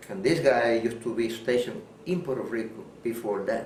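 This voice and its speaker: A man's medium-pitched voice shows ordinary pitch variation while noticeable background noise plays behind him. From Puerto Rico. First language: Spanish. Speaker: war veteran. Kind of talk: interview answer.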